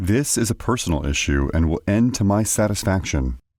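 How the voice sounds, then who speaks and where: A man's booming, put-on character voice, fairly low in pitch, at a fairly quick pace. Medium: read story. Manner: curt, menacing.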